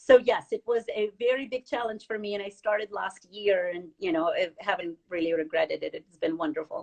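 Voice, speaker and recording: With a non-native accent, this speaker talks at a fairly quick pace with lively intonation and hardly any pauses. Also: woman, medium pitch for a woman. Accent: noticeable foreign. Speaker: financial advisor. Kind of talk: interview. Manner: halting, many fillers.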